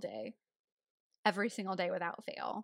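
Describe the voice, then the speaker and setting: In a Southern US accent, a woman speaks at a moderate pace and medium pitch with ordinary pitch variation, recorded very cleanly over a silent background. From Tennessee. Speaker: podcast co-host. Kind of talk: casual chat.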